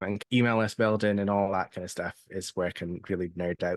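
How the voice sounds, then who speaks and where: Fairly low in pitch, a man talks with a Scottish accent and fairly even intonation. The sound is dry and close, with no echo. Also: quiet background. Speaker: seller coach and email marketer. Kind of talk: interview.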